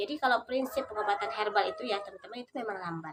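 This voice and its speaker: Moving at a very fast pace, a woman speaks with ordinary pitch variation. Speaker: vlogger. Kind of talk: casual vlog tutorial. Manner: hesitant with frequent fillers.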